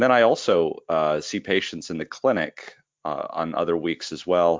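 A man speaks in a very deep, low pitch with ordinary pitch variation. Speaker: critical care doctor and medical educator. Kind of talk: casual interview.

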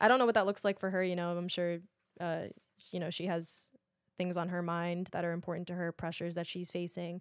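Spoken in a New York accent at a very fast pace, the voice has a monotone, flat intonation on a very clean recording with a silent background. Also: woman, fairly low pitch for a woman. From Queens, New York. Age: 20s. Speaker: actress and influencer. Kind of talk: casual chat.

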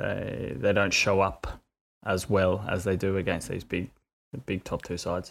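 On a very clean recording with a silent background, a man speaks with an Australian accent. His pitch is fairly low. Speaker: sports betting podcast co-host. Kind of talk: casual chat.

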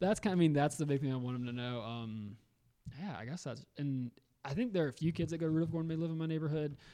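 Speaking at a very fast pace, a man has a dark, mellow tone and ordinary pitch variation. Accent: American. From Augusta, Georgia, US South. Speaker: middle school math teacher. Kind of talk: casual interview. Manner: loud.

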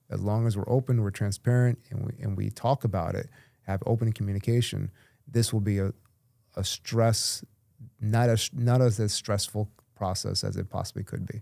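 On a very clean recording with a silent background and a dry, close sound with no echo, a man speaks in a dark, mellow tone at a fairly low pitch, with fairly even intonation and a moderate pace. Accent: American. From Tampa Bay area, Florida. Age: 40s. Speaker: realtor. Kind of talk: casual chat.

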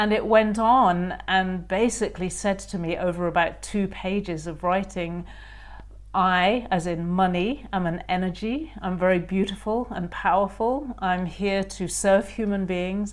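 Speaking at a fairly slow pace, a woman with an English accent uses a medium pitch and fairly even intonation. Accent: posh English, boarding-school. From England. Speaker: author. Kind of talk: interview.

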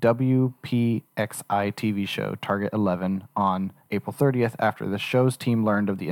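Recorded very cleanly with a silent background and a dry, close sound with no echo, a man speaks in an ordinary speaking voice at a fairly low pitch with ordinary pitch variation. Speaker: podcast producer. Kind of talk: reading a news article aloud.

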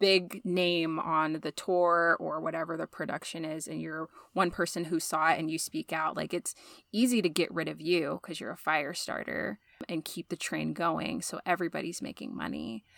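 A woman speaks with vocal fry at a fairly low pitch and ordinary pitch variation. The sound is dry and close with no echo, on a very clean recording with a silent background. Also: moderate pace. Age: 30s. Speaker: podcast host, women's center staff. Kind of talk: casual chat.

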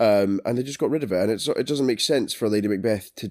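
Speech in a British accent carries ordinary pitch variation. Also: man. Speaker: film podcast co-host. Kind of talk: casual chat.

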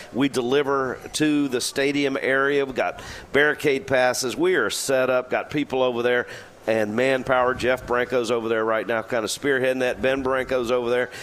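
A man with a medium pitch and fairly even intonation talks at a moderate speed while noticeable background noise plays behind him. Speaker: deli representative.

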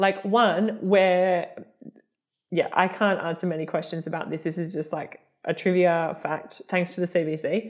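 An ordinary speaking voice from a woman, fairly low in pitch, with fairly even intonation and a fairly slow pace. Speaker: podcast co-host. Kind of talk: casual chat.

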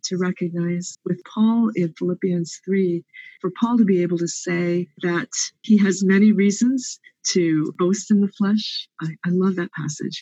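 Her medium-pitched voice, somewhat breathy with a dark, mellow tone, carries fairly even intonation as the woman speaks at a fairly slow pace. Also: dry, close sound with no echo. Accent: American. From US, Pennsylvania. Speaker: theology professor. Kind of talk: interview.

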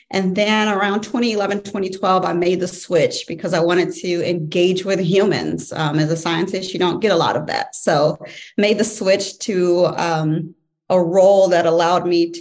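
A woman speaks in a plain, everyday voice with an American accent. Her pitch is medium, her intonation fairly even and her pace moderate. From St. Louis, Missouri. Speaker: executive MBA student, former scientist. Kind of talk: interview.

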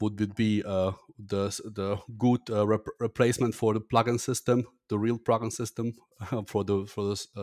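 A man with a German accent speaks at a fairly low pitch in a monotone, flat intonation, the sound dry and close with no echo. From Germany. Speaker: agency co-founder and podcaster. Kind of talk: casual interview conversation. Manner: halting, hesitant with fillers.

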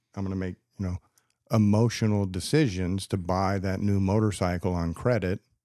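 A man with a Texan accent, fairly low in pitch, dark and mellow in tone, at a moderate pace with fairly even intonation, in a dry, close sound with no echo. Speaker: podcast co-host. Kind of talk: casual chat.

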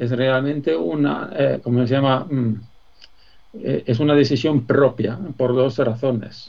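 Very slow speech from a man at medium pitch, with ordinary pitch variation. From Sweden. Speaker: business executive. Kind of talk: interview. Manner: hesitant, many fillers.

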